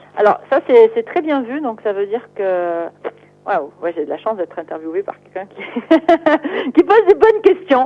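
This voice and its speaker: Over music in the background, a woman speaks at a fairly high pitch and moderate pace, with very wide pitch swings, big swings in loudness, and long, frequent pauses. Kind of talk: interview.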